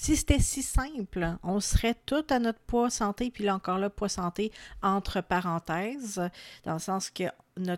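In a very clean recording with a silent background and a dry, close sound with no echo, a woman speaks at a medium pitch with lively intonation in a Quebec accent. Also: fairly slow pace. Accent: Québécois French. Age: 30s. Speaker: wellness podcast host. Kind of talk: solo podcast monologue. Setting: home recording at microphone.

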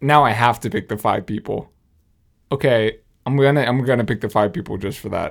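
Speaking at a fairly quick pace with ordinary pitch variation, a man comes through in a very clean recording against a silent background. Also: medium pitch for a man. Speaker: podcast co-host and musician. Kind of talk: casual chat.

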